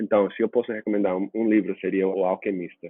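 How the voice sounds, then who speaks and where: A fairly low male voice with fairly even intonation. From US, Washington state. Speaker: nonprofit founder and CEO. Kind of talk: interview.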